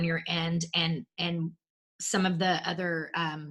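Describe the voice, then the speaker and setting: A woman speaks with a Texan accent. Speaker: podcast host. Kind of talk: interview.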